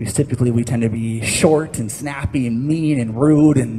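A man's intonation is fairly even, with light background noise behind him. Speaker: pastor. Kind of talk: sermon. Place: church. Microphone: headset.

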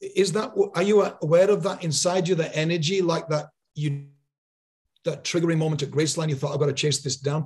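A man speaks in a normal speaking voice at a fairly high pitch and a fairly quick pace, with fairly even intonation over light background noise. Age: 60s. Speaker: podcast host. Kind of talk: interview. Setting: video call. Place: home room. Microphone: studio mic.

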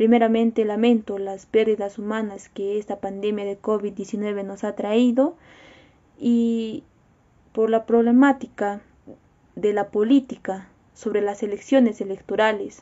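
At a fairly slow pace, a woman speaks in a fairly high pitch with monotone, flat intonation. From Peru, Cusco; Peru. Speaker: university student. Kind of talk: personal video statement. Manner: formal. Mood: serious, concerned. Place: home room. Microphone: phone near.

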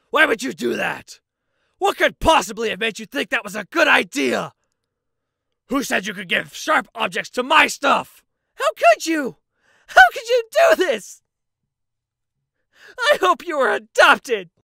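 A put-on character voice comes through at a high pitch and a moderate pace. Long, frequent pauses break it up. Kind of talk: comic overacting. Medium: fan dub. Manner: indignant, shouting, exasperated.

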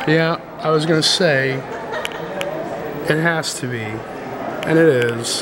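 Speaking at a very slow pace with hardly any pauses, the voice comes through noticeable background noise. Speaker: former art graduate student. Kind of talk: casual talk while filming. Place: hall. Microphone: phone near.

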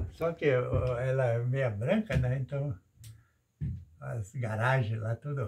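The voice is somewhat breathy at a very slow pace, with long, frequent pauses. Pitch variation is ordinary. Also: man, medium pitch for a man. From western Santa Catarina, Brazil. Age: 80s+. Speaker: retired farmer and stone-wall builder. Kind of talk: casual chat.

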